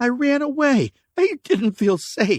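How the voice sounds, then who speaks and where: Extremely high-pitched put-on character voice from a man, at a fairly slow pace with very wide pitch swings. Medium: read story. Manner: anxious, pleading.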